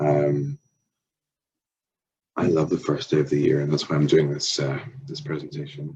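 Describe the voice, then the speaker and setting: A man with an Irish accent, very deep and low in pitch, monotone and flat, with long, frequent pauses. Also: moderate pace. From Ireland. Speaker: language teacher. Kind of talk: workshop presentation. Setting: empty classroom.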